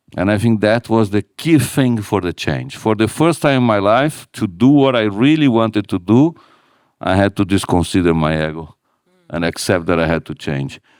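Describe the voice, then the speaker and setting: A man with a non-native accent speaks in a fairly low voice. His pitch swings very widely on a very clean recording with a silent background. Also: moderate pace, dry, close sound with no echo. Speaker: retail company CEO. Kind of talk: live on-stage interview. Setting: stage with audience.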